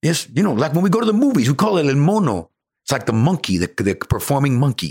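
A man talks with vocal fry and very wide pitch swings. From Cuba. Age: 60s. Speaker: actor. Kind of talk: interview.

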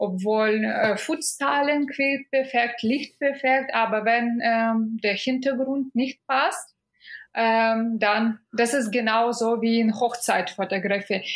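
A high-pitched woman speaks in a Russian accent at a very slow pace. Her loudness stays very even while her pitch varies in an ordinary way. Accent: Russian-sounding foreign accent in German. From Belarus (Minsk). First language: Russian or Belarusian (speaking German). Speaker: food photographer. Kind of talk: podcast interview. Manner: halting, many fillers.

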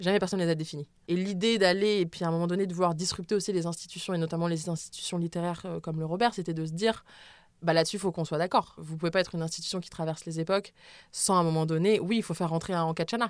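A woman at a very fast pace, fairly low in pitch, with fairly even intonation, on a very clean recording with a silent background. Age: 20s. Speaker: sex educator and author. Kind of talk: interview. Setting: studio. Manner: hesitant, many fillers.

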